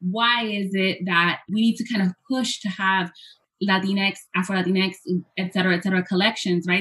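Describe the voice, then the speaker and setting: A woman with a normal speaking voice, medium pitch and fairly even intonation. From Hoboken, New Jersey, US; Puerto Rican family. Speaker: professor. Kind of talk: interview, presenting with slides.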